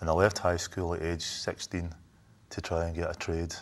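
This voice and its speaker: A man talks at a moderate pace in a very deep, low voice. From Scotland, Airdrie near Glasgow. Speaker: sculptor and musician. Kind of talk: interview.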